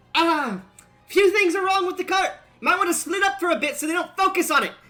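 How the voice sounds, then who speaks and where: With faint music in the background, a woman puts on a character voice at an extremely high pitch and a fairly quick pace. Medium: actual play.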